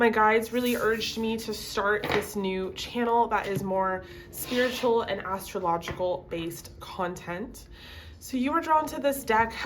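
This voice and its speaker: The speaker moves at a fairly slow pace, pitch varying in an ordinary way, with noticeable noise in the background. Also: woman, fairly high pitch for a woman. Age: 20s. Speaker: tarot reader. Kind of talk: casual talk to camera.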